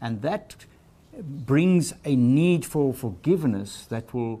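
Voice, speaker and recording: The speaker is a man with a dark, mellow tone. His intonation is lively. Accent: South African. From South Africa. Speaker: ministry leader. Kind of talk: interview.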